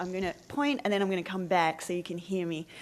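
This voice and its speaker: A woman with an Australian accent talks at a fairly low pitch. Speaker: media director. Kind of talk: conference talk.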